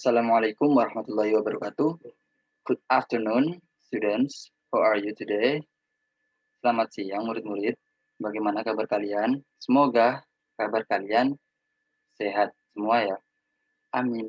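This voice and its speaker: Speaking at a moderate pace and medium pitch, a man uses fairly even intonation and long, frequent pauses, with a dry, close sound that has no echo. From Indonesia, Probolinggo, East Java. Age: 20s. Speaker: student teacher. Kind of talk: lecture.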